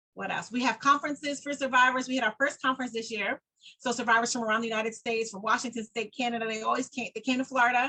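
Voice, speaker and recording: Speaking at a very fast pace, a woman with an American accent has a high pitch and a bright, sharp tone. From New York. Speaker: domestic abuse survivor and nonprofit founder. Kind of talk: interview. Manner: animated.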